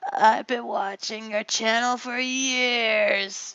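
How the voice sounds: In a put-on character voice, the words come out at a very slow pace. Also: woman, high pitch for a woman.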